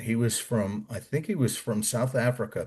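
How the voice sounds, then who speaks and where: A somewhat breathy man at a fairly slow pace against a quiet background. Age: 60s. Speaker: war veteran. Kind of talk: interview. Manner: animated.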